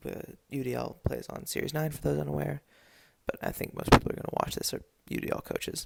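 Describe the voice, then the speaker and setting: A quiet, whispering man at a moderate pace. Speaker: video game league commentator. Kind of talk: casual solo commentary. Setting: home at midnight. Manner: quiet, whispered.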